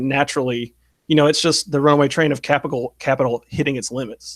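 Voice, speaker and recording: In a very clean recording with a silent background, a man with a Southern US accent speaks at a fairly high pitch with fairly even intonation. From US South. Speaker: online political commentator. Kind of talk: interview conversation.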